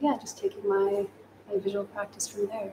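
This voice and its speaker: Against light background noise, a woman talks with monotone, flat intonation. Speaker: photojournalist. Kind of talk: panel discussion. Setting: livestream. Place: studio.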